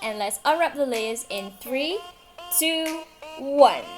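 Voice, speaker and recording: A woman speaks in a high voice with music playing in the background. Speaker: student interviewer. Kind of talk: scripted introduction.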